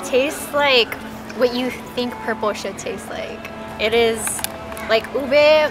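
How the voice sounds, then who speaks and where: A woman speaks very slowly in a high voice with ordinary pitch variation. Music plays in the background. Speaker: co-host food vlogger. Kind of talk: casual vlog chat. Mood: cheerful, relaxed. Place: street.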